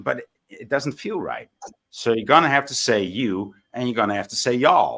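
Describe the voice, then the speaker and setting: A man with a strong non-native accent speaks at a medium pitch with ordinary pitch variation and a moderate pace. His tone is bright and sharp, and his loudness swings a lot. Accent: thick foreign. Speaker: panel participant in online debate. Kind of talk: heated debate.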